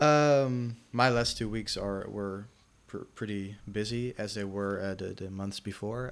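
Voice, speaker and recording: A man with a Dutch accent talks at a fairly slow pace in a fairly low pitch with fairly even intonation, on a very clean recording with a silent background. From Netherlands. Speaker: podcast co-host. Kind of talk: casual chat. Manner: halting.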